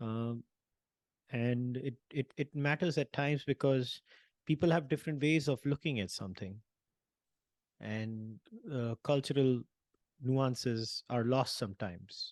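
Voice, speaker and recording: A man with an Indian accent at a medium pitch, fairly slow pace, long, frequent pauses, and ordinary pitch variation, in a dry, close sound with no echo against a quiet background. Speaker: panel discussion host. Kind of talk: podcast interview. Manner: halting, repeats words.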